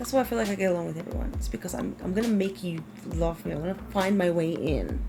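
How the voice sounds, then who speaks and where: A woman talks at a very fast pace against noticeable background noise. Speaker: gaming youtuber. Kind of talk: casual vlog review. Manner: loud; animated.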